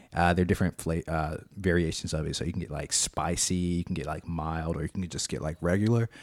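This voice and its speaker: In a very clean recording with a silent background and a dry, close sound with no echo, a man with a very deep, low pitch speaks at a fairly quick pace, with hardly any pauses and fairly even intonation. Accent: Alabama. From Alabama, Montgomery. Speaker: IT worker, guest interviewer. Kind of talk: casual interview. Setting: studio, recorded with video.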